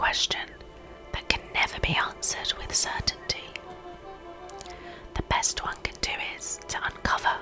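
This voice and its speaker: Someone whispers at a fairly slow pace with long, frequent pauses while music plays in the background. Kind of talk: reading game dialogue and narration aloud. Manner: whispered.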